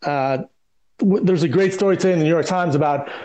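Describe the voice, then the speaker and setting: A man talks at a fairly quick pace with a high pitch and ordinary pitch variation. Audible room echo surrounds his voice. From US Midwest, Detroit. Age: 50s. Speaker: communications strategist. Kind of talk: podcast interview.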